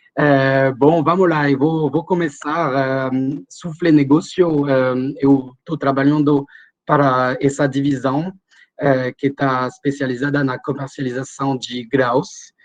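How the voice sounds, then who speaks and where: In a French accent, a man speaks very slowly at a fairly high pitch with monotone, flat intonation. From France. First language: French (speaking Portuguese). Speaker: grain trading specialist. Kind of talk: webinar presentation. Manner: halting, many fillers.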